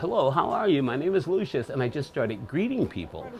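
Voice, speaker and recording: Against noticeable background noise, a man with an American accent speaks at a fairly high pitch with very wide pitch swings. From Michigan, Detroit area. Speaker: actor and entertainer. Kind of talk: interview. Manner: articulate, proper-sounding.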